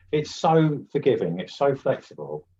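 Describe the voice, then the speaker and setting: A man speaks with very wide pitch swings. His voice is somewhat breathy. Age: 50s. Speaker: oil painter and art teacher. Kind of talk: live painting tutorial. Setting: live webinar. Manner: casual, halting with fillers.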